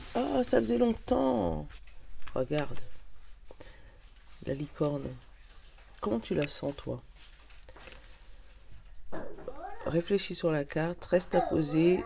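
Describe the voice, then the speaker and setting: Very slow female speech with long, frequent pauses over noticeable background noise. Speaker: tarot card reader. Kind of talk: oracle card reading, casual chat. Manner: animated.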